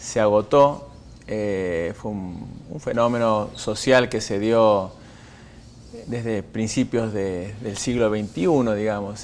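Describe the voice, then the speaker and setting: Light background noise runs beneath a man's voice. His pitch is fairly low, with ordinary variation. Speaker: guest. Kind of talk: interview answer. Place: studio. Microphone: lapel.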